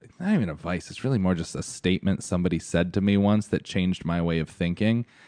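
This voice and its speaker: Over a quiet background, a man with an ordinary speaking voice talks at a fairly quick pace with ordinary pitch variation. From US Northeast, Connecticut. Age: 30s. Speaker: plus size model. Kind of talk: casual chat.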